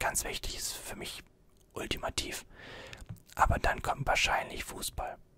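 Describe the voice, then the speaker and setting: A man is whispering. His pace is moderate. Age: 20s. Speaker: YouTuber and student; YouTuber. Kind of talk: ASMR Q&A video. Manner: soft-spoken. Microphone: studio mic.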